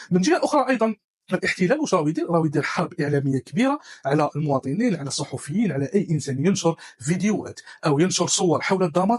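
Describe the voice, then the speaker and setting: Very fast and high-pitched, a man speaks with lively intonation. The sound is dry and close, with no echo. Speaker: tech news presenter. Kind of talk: news roundup, casual dialect.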